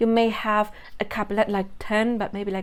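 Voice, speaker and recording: Recorded very cleanly over a silent background, a woman speaks at a moderate pace. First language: not English. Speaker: spiritual content creator. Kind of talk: monologue video. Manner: casual, self-correcting.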